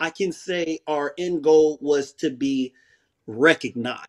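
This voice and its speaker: The background is quiet as a man speaks at a very slow pace. His pitch is fairly high, with ordinary pitch variation. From southeast San Diego, California. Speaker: former prisoner and ex-gang member. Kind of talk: interview, life story. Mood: reflective storytelling about past. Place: home room. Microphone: video call.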